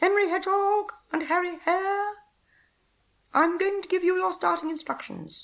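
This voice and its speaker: In a squeaky, put-on character voice at an extremely high pitch, the speaker goes at a moderate pace with long, frequent pauses. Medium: read story.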